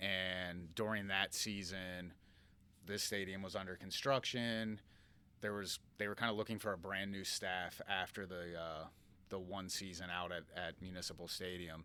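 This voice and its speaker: On a very clean recording with a silent background, a man with a Philadelphia accent speaks at a moderate pace in a very deep, low voice, his tone bright and sharp and his intonation monotone and flat. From Philadelphia area, US. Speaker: minor league baseball general manager. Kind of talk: podcast interview.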